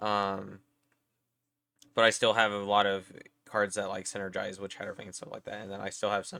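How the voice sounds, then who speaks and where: A man speaks with a bright, sharp tone. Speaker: YouTuber talking about card game decks. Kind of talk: casual vlog talk. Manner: casual with many fillers.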